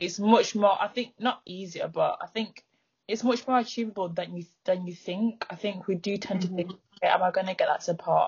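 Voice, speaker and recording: Somewhat breathy and with a northern English accent, the speaker moves at a fairly quick pace with fairly even intonation. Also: woman, medium pitch for a woman. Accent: northern English, noticeable. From northern England. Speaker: footwear brand founder. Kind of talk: casual interview chat. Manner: shy about speaking, but confident.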